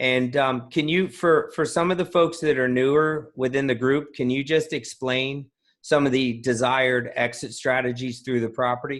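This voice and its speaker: A plain, everyday voice from a man with an American accent, medium in pitch, fairly even in intonation, at a moderate pace with hardly any pauses. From New Jersey, US. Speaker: podcast host, note investing author. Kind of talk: interview.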